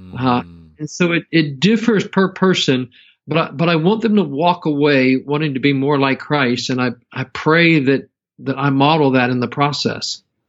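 An American accent marks this man's unremarkable speaking voice, pitched fairly high. He talks at a moderate pace with lively intonation. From US Midwest (Southwestern Ohio). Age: 50s. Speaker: seminary professor. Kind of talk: interview.

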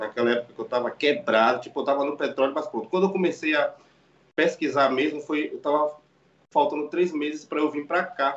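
An ordinary speaking voice from a man, fairly high in pitch, at a fairly quick pace with fairly even intonation. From Brazil, Salvador, Bahia. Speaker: barber. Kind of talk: casual chat.

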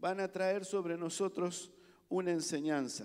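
A man speaks at a very slow pace in a high pitch. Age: 50s. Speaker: pastor. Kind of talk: sermon.

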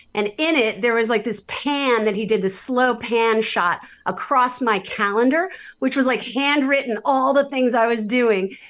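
Against a quiet background, a woman with a high pitch and an American accent speaks in an animated tone with ordinary pitch variation. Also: moderate pace. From US Northeast, New York City. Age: 50s. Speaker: singer-songwriter. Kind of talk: casual chat.

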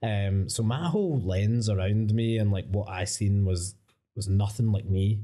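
Speaking at a fairly slow pace in a Glaswegian accent, a man keeps his loudness very even while his pitch varies in an ordinary way. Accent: Glaswegian Scottish. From Scotland, Coatbridge. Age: 30s. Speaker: creative agency founder. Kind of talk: casual interview. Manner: casual, sweary.

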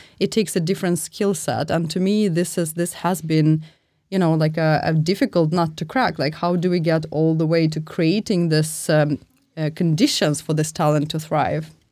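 Speaking at a moderate pace, a woman with a very deep, low pitch and a dark, mellow tone keeps fairly even intonation and very even loudness. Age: 30s. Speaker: responsible AI specialist. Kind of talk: live panel discussion. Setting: live release party.

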